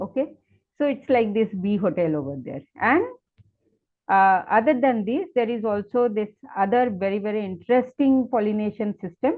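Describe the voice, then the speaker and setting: In an ordinary speaking voice, a woman with a fairly high pitch talks at a moderate pace with lively intonation. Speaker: plant ecologist, invited speaker. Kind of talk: webinar lecture. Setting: online webinar.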